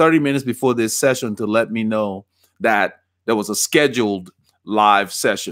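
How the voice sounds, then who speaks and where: Recorded very cleanly against a silent background, a man with a Liberian accent talks at a fairly quick pace with ordinary pitch variation and a dry, close sound with no echo. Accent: Liberian, island-like twang. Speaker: cycling coach and bike fitter. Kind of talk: live stream Q&A. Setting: live stream.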